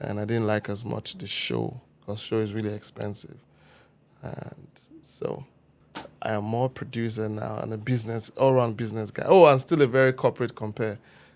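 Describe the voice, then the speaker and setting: At a moderate pace, a man with a Niger Delta accent talks in a medium pitch, with fairly even intonation and big swings in loudness. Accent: Warri Nigerian. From Nigeria, Warri, Delta State. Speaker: producer and event host. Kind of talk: podcast interview. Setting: studio.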